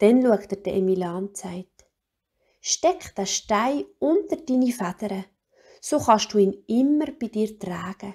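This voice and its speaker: A woman with a Swiss German accent speaks at a very slow pace, her pitch fairly high and her tone dark and mellow. Her intonation is lively and her voice somewhat breathy. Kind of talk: children's story reading.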